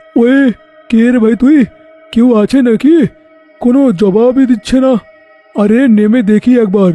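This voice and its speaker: Over faint background music, a man does a cartoonish character voice pitched extremely high, at a moderate pace. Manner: blustering, easily frightened.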